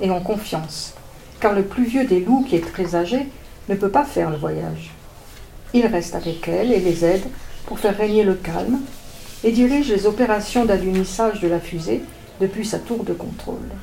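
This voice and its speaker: A woman speaks at a moderate pace with long, frequent pauses and ordinary pitch variation. The recording has noticeable background noise and audible room echo. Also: medium pitch for a woman. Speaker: author reading her own children's story. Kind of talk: reading aloud. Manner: halting.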